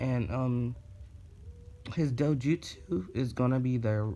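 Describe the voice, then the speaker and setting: A man's medium-pitched voice, very slow in pace, with ordinary pitch variation. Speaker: YouTuber telling fan fiction. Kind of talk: casual storytelling monologue. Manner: halting, many fillers (um).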